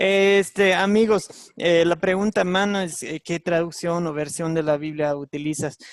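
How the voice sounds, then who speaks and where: A man with a high voice talks at a fairly slow pace with hardly any pauses and fairly even intonation, in a dry, close sound with no echo. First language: English (speaking Spanish). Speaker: Bible teacher. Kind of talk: online Bible class lesson. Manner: halting, many fillers.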